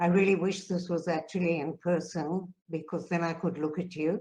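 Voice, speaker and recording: A woman speaks in a fairly low voice with flat, monotone intonation. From South Africa. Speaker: peace activist. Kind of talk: conference talk.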